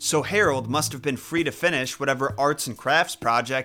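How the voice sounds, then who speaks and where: At a moderate pace, a man speaks in an ordinary speaking voice at medium pitch with ordinary pitch variation. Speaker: YouTube storyteller. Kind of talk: dramatic storytelling narration. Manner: hushed, suspenseful, building tension; measured, theatrical pacing.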